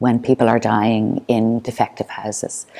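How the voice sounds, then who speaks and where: A woman's dark, mellow tone with an Irish accent. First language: Irish Sign Language. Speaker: performance artist. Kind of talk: artist talk. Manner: halting.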